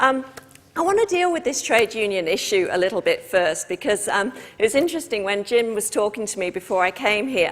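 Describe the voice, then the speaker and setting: With a British accent, a woman talks at a fairly quick pace and a fairly high pitch with very wide swings. Noticeable background noise can be heard. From Britain. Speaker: trade union official. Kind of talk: talk to a live audience. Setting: stage with audience.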